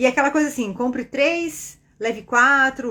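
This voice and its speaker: A woman with a Brazilian accent and high pitch speaks at a moderate pace in an animated tone, on a very clean recording with a silent background. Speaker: spiritist online teacher and meditation guide. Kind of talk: casual teaching talk on a livestream.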